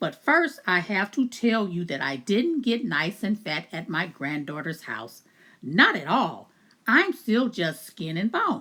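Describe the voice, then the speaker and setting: A female-sounding voice at medium pitch performs a put-on character voice with very wide pitch swings at a fairly slow pace, in a very clean recording with a silent background. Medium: read story.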